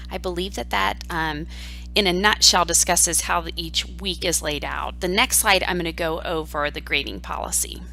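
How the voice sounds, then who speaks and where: A woman speaks in an Ohio Valley accent at a moderate pace. Music plays in the background, and room echo is audible. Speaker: university professor. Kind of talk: online course lecture. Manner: conversational, with filler ums.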